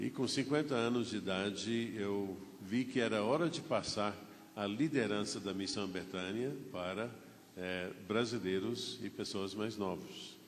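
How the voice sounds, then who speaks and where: Fairly slow speech from a man, with audible room echo. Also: fairly low pitch for a man, ordinary pitch variation. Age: 70s. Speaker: pastor. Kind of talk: sermon. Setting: church.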